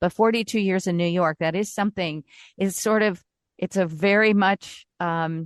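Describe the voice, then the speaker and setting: Against a quiet background, a woman with an American accent talks in a normal speaking voice at a medium pitch and moderate pace, with fairly even intonation and a dry, close sound with no echo. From Indiana. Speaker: radio host. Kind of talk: interview.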